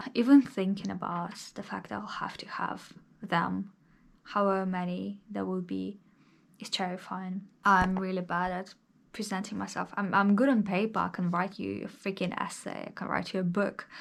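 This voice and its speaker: In a very clean recording with a silent background, a speaker with a non-native accent talks at a moderate pace in a monotone, flat intonation. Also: woman, medium pitch for a woman. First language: not English. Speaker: vlogger. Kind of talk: casual vlog monologue. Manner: conversational, with hesitations.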